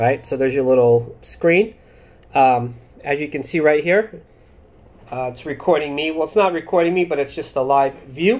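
A man is speaking. His pace is moderate and his pitch varies in an ordinary way. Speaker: product reviewer. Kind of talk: casual vlog chat. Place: home room. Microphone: phone near.

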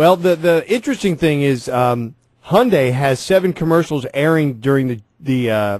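In a quiet background with a dry sound and no echo, a man with a normal speaking voice talks at a moderate pace, fairly high in pitch and lively in intonation. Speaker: radio host. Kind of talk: casual chat. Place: studio. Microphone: studio mic.

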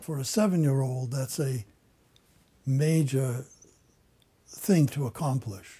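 A man's somewhat breathy, dark, mellow voice at a very slow pace, with ordinary pitch variation and long, frequent pauses. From western Ukraine. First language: German. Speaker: Holocaust survivor. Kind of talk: testimony. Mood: calm, reflective. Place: office.

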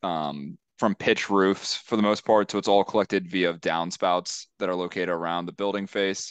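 Over a quiet background with dry sound and no echo, a man has a plain, everyday voice with fairly low pitch and fairly even intonation. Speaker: civil engineer presenting to a town board. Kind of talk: technical, professional. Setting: virtual public hearing. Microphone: video call.

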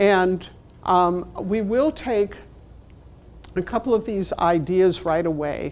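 A woman's medium-pitched voice in a Chicago accent. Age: 60s. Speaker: library management trainer and consultant; presenter. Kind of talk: workshop presentation. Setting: stage with audience, also streamed online. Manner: humorous, conversational. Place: meeting room.

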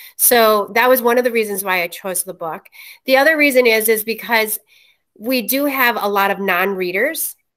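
The woman's voice is fairly high and fairly bright, with ordinary pitch variation at a moderate pace.

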